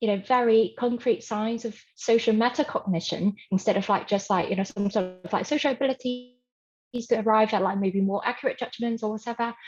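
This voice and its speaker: Speaking at a fairly quick pace, a woman has a fairly high pitch. Her voice is somewhat breathy, with fairly even intonation. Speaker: conference audience member asking a question. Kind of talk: academic Q&A. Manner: fast; filler-heavy, hesitant.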